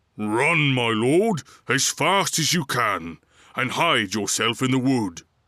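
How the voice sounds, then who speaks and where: A man's put-on, growling character voice at medium pitch, with very wide pitch swings, very even loudness and a fairly slow pace, on a very clean recording with a silent background. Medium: read story. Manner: deferential.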